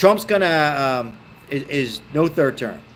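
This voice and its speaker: A man with an ordinary speaking voice, an American accent, lively intonation and a moderate pace. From Baltimore, Maryland, US. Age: 50s. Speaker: political commentary streamer. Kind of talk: live stream chat reading viewer comments. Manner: casual, conversational.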